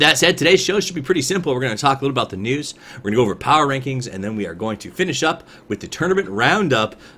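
In a bright, sharp tone, a man talks at a very fast pace with very wide pitch swings and big swings in loudness. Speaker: stream show host. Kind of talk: news show commentary. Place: home room.

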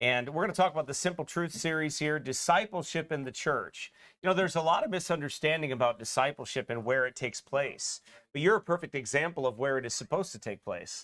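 A man speaks very fast, his pitch varying in an ordinary way, with a quiet background behind him. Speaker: pastor. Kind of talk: sermon. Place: church. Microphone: podium.

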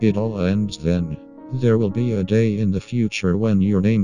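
A put-on character voice goes at a moderate pace over clear music in the background. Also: man. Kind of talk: crude comic parody dubbing. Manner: flat, cold, hostile; somber monologue about death.

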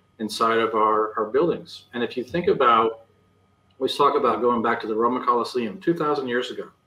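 A man speaks with an American accent. Room echo is audible around him. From Iowa, US Midwest. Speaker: architect; guest. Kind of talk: interview. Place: home room. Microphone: video call.

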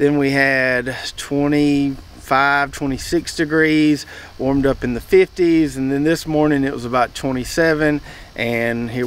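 The pitch varies in an ordinary way, and the sound is dry with no echo. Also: man. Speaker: home gardener vlogger. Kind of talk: casual vlog chat. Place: garden.

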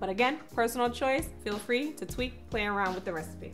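Music sounds clearly behind the voice. The speaker is a woman. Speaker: cooking show host. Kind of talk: tutorial. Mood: cheerful and upbeat. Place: kitchen.

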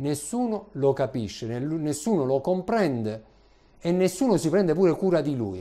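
A man's dark, mellow tone moves through very wide pitch swings. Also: fairly slow pace. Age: 40s. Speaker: preacher. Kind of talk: sermon. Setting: church. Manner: animated. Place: church. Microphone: lapel.

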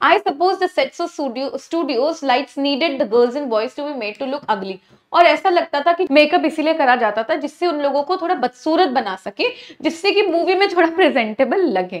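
A woman's high voice with lively intonation at a moderate pace, over a quiet background. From India. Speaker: teacher. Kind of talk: lecture. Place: studio.

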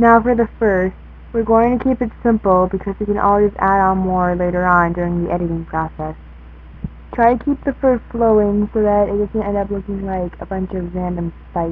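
A woman is talking at a moderate pace. Behind her, music can be heard. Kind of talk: drawing tutorial narration.

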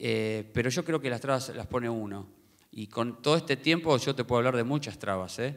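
Against a quiet background, a man with a Rioplatense accent talks at a fairly quick pace. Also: ordinary pitch variation. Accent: Argentine Spanish (rioplatense). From Argentina. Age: 50s. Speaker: tennis coach for the blind, book author; tennis coach for the blind. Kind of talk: book presentation talk. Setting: theater with live audience. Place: stage. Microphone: handheld.

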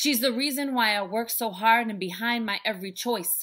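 A woman talks against a quiet background. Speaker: speaker, author and life coach. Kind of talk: spoken word poetry performance. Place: home room. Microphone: webcam.

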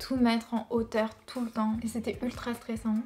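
With faint music in the background, a woman speaks at a moderate pace and a fairly high pitch. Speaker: YouTuber. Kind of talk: storytelling. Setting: home video. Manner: animated; conversational. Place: home room.

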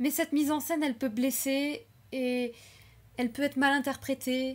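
At a moderate pace, a woman speaks in a high pitch with a nervous tone. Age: 20s. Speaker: YouTuber and animation student; channel creator. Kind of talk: unscripted personal vlog. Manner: hesitant, with filler words and nervous laughs. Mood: earnest, reflective. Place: home room. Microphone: webcam.

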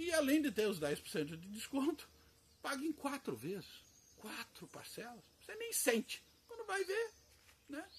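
A man's extremely high voice with very wide pitch swings, big swings in loudness, long, frequent pauses and light background noise. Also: moderate pace. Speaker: orchid grower and seller; seller. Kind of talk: sales pitch; casual promotional vlog chat. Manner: speaking loudly to compensate; casual, hesitant with repetitions. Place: garden. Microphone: recording without external microphone, may sound quiet; camera far.

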